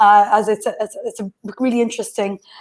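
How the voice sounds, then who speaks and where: A woman's fairly high voice in an Irish accent. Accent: soft Irish. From west coast of Ireland. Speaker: remote work consultant and academic. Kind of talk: online panel talk.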